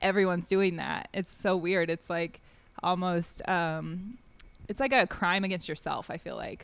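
A woman with an ordinary speaking voice and an American accent, medium in pitch, at a fairly slow pace with fairly even intonation, on a very clean recording with a silent background. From Wyoming and Washington State, US. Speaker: modeling agency founder and CEO. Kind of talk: casual interview. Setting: in person, downtown.

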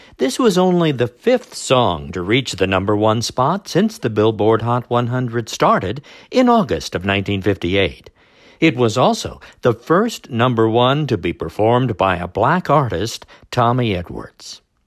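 A normal speaking voice moves at a moderate pace. Its intonation is lively. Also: man, medium pitch for a man. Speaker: radio oldies dj. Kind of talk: scripted radio-style music history segment, podcast intro and outro. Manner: brisk, polished, upbeat announcer delivery; formal, informative, repeats the same patter.

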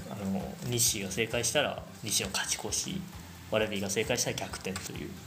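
Room echo and noticeable background noise are heard. A man speaks at a moderate pace. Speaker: podcast host, psychology student. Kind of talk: casual chat; quiz hosting. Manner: animated.

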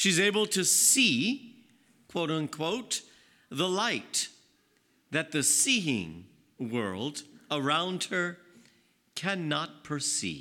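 On a very clean recording with a silent background, a man speaks very slowly, with long, frequent pauses and vocal fry. His fairly high voice has a bright, sharp tone and swings very widely in pitch. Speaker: priest. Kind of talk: homily; story narration, recounting a novel's plot in an even, storyteller's cadence. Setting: church. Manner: measured, warm and steady, like a storyteller; formal, unhurried.

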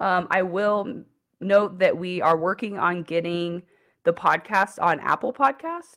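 This woman talks very slowly in a fairly low voice with ordinary pitch variation. The recording is very clean, with a silent background. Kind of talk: solo teaching talk. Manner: hesitant, many fillers.

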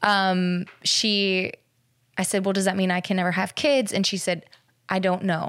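In an American accent, a woman with an unremarkable speaking voice talks at a medium pitch and moderate pace, her loudness very even, on a very clean recording with a silent background. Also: fairly even intonation. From Minnesota. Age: 40s. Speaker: fitness trainer and gym co-owner. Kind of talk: personal testimony interview.

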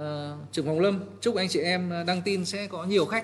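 With ordinary pitch variation, a man speaks at a moderate pace in a high pitch. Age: 30s. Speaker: real estate team leader. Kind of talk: training talk. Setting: livestream. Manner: halting, many fillers.

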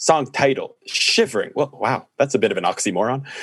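A man is heard in a dry, close sound with no echo. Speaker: podcast host and music reviewer. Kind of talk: casual chat, music review podcast. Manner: animated, playful banter.

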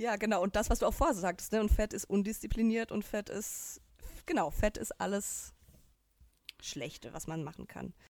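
The delivery has lively intonation, vocal fry and big swings in loudness. Long, frequent pauses break it up. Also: woman, medium pitch for a woman, moderate pace. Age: 30s. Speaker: podcast co-host. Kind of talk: casual chat. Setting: video call.

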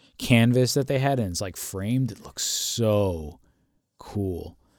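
Here is an unremarkable speaking voice, a man's, fairly low in pitch and fairly slow. The recording is very clean, with a silent background. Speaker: podcast co-host. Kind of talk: casual chat.

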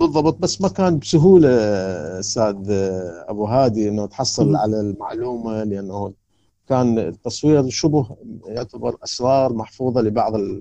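Speaking at a fairly slow pace, a man with a medium pitch has a dark, mellow tone and lively intonation. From Iraq, Karbala. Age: 60s. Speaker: photographer, photography society president. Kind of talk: interview. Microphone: choppy audio connection.

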